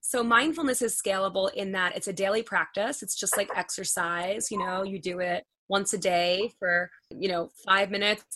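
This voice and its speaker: Her pitch medium with ordinary variation, a woman speaks with an American accent. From US Northeast (Long Island, New York). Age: 40s. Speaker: nonprofit founder and mindfulness teacher. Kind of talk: interview, partly guided meditation. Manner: fast talker.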